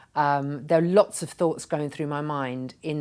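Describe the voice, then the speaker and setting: In a very clean recording with a silent background, a woman with a very deep, low pitch talks at a moderate pace with ordinary pitch variation. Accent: English. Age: 60s. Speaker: retired nurse and pharmaceutical executive turned patient advocate. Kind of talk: interview. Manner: halting.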